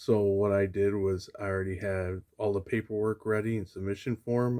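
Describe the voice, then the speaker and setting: Quiet and at a moderate pace, a man speaks with a fairly low pitch, a dark, mellow tone and monotone, flat intonation. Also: very clean recording, silent background. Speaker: comic collecting youtuber. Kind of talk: casual vlog. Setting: at home late at night. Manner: quiet, low voice.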